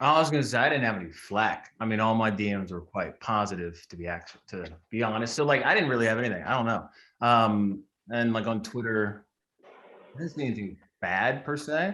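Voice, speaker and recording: Speaking at a fairly quick pace with a Midwestern American accent, a man has a medium pitch, ordinary pitch variation, and a bright, sharp tone. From Indiana. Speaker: actor. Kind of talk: roundtable interview.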